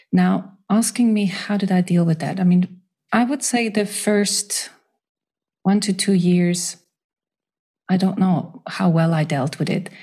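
Somewhat breathy and at a medium pitch, the woman speaks at a fairly slow pace with ordinary pitch variation and long, frequent pauses. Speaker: holistic counselor and grief author. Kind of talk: interview, personal testimony. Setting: remote call. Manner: soothing.

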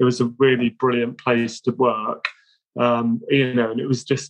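A man with a medium pitch speaks fairly slowly, the sound dry and close with no echo. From England. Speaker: art director. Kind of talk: interview. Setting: video call.

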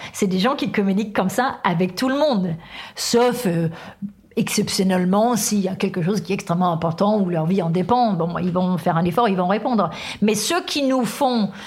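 This is a woman's voice, somewhat breathy. It sits at a medium pitch. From Denmark. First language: Danish (speaking French). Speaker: author, workplace wellbeing specialist. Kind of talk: interview.

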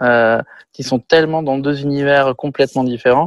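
A normal speaking voice keeps fairly even intonation at a fairly slow pace. The sound is dry and close with no echo. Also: man. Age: 40s. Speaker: film and TV director. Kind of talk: casual interview. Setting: video call.

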